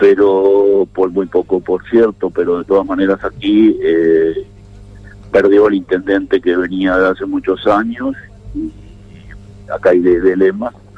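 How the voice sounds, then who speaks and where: Against noticeable background noise, a man with a fairly low pitch speaks at a fairly slow pace. His intonation is monotone and flat, with long, frequent pauses. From Argentina, northern Santa Cruz (Patagonia). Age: 60s. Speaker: former politician. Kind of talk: radio interview. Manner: hesitant, with fillers.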